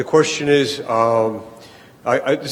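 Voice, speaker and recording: There is noticeable background noise behind a man. He speaks at a moderate pace with fairly even intonation. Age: 60s. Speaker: audience member. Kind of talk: audience question at panel. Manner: halting.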